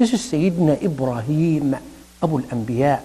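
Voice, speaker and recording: Here a man speaks in a fairly high pitch. His voice swings very widely in pitch. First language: Arabic. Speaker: imam / Islamic preacher; religious lecturer. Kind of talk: sermon. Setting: mosque.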